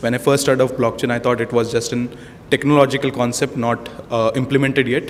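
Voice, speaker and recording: A very fast, monotone, flat delivery comes through over noticeable background noise. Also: man, medium pitch for a man. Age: 20s. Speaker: hackathon participant. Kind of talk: self-introduction at event. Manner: halting.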